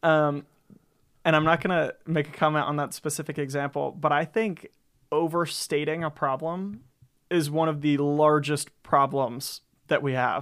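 A man's normal speaking voice with an American accent, fairly high in pitch, fairly even in intonation and moderate in pace, on a very clean recording with a silent background. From US South, Florida Panhandle (Gulf Breeze). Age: 20s. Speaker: student government leader. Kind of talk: casual interview chat.

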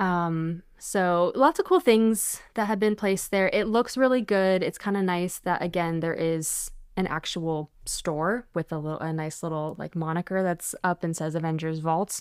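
In a very clean recording against a silent background, a woman with an unremarkable speaking voice talks at a moderate pace with fairly low pitch, ordinary pitch variation and hardly any pauses. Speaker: podcast co-host. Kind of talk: casual chat.

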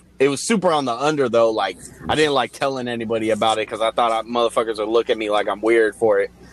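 A man with an American accent speaks very fast at medium pitch with fairly even intonation, the sound dry and close with no echo but noticeable background noise. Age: 30s. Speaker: music video director, beat producer and rapper. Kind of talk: casual chat.

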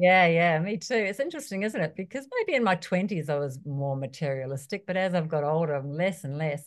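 Lively intonation in a New Zealand accent, at a fairly quick pace with hardly any pauses, over a quiet background. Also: woman, fairly low pitch for a woman. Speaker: personal trainer. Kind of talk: interview.

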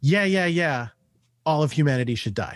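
Recorded dry and close with no echo, a man with an unremarkable speaking voice talks at a fairly quick pace with lively intonation. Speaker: comic book editor. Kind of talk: casual chat.

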